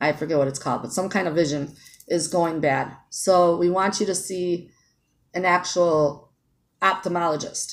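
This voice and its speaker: At a moderate pace, a woman talks in an ordinary speaking voice, fairly low in pitch, with fairly even intonation. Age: 40s. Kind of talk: casual talk to camera.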